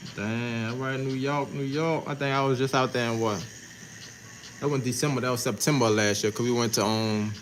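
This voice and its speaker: Audible room echo surrounds a man with an American accent who talks at a fairly quick pace and medium pitch with fairly even intonation. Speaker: tattoo artist. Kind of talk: casual chat. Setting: livestream.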